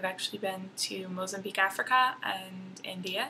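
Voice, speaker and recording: With an American accent, this is a normal speaking voice delivered at a fairly slow pace. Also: woman. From Texas, Dallas area. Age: 20s. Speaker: college student vlogger. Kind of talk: casual vlog introduction.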